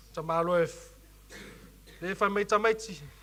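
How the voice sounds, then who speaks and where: A man's high-pitched voice, bright and sharp in tone, raised and projected. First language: Samoan. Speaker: preacher and youth leader. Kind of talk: sermon. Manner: halting.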